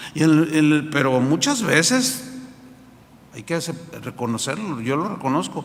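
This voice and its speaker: With audible room echo and noticeable background noise, a man speaks at a moderate pace and a fairly high pitch. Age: 60s. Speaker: pastor. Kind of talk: sermon. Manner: halting, with repetitions.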